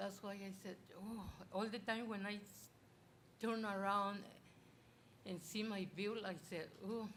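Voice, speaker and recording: Over noticeable background noise and audible room echo, a woman speaks at a fairly slow pace in a monotone, flat intonation with long, frequent pauses. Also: medium pitch for a woman. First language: not English. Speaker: public commenter, local resident. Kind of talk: public comment at council meeting. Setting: city council meeting chamber. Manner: halting, broken English.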